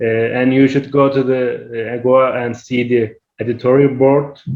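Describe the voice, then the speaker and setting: A man with a Turkish accent speaks at a fairly slow pace. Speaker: academic researcher, webinar presenter. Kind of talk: Q&A answer in an online workshop. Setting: online webinar. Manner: halting, many hesitations.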